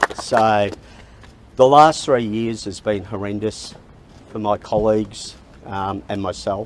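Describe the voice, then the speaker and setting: This man has an Australian accent and a fairly low pitch. He speaks at a fairly slow pace. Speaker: sacked baggage handler speaking at press conference. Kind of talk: press conference statement. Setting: press conference at Parliament House.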